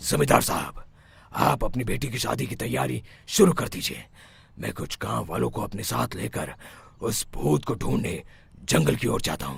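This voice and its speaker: In a cartoonish character voice, the man booms at a very deep, low pitch with very wide pitch swings. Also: moderate pace. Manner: authoritative, calm.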